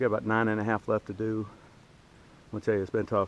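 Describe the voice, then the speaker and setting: A man with a fairly low-pitched voice. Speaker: hiker vlogger. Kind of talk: casual vlog narration. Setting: outdoors on a hiking trail. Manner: quiet.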